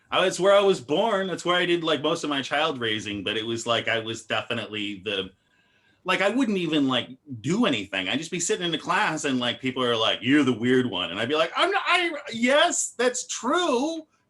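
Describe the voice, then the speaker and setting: Fairly high-pitched and bright, sharp in tone, a man with an American accent talks at a fairly quick pace with vocal fry. His pitch swings very widely. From Arizona and New Hampshire, US. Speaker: comedian. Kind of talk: casual chat. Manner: halting.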